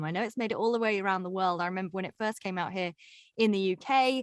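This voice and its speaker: A woman with a slight English accent at a very fast pace, dry and close with no echo. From southern England (Reading, near London). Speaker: broadcaster and podcast host. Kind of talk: interview conversation.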